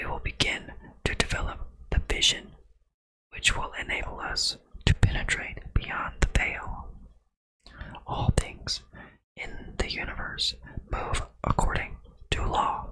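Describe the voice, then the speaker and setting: Whispering in a calm tone, a man speaks at a fairly slow pace with long, frequent pauses. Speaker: ASMR content creator. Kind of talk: ASMR book reading. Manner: whispered, soft, calm.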